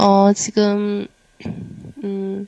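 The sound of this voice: This woman speaks at a medium pitch with a Chinese accent. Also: dry, close sound with no echo. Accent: Chinese-accented Korean.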